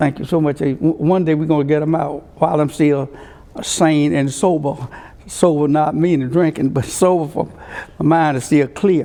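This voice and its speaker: In an Alabama accent, a man talks at a moderate pace. His intonation stays fairly even. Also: fairly high pitch for a man. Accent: Southern US (Alabama). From US South, rural Alabama (Conecuh County). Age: 80s+. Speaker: civil rights leader and politician. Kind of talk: oral history interview. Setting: courtroom. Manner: halting, with frequent fillers.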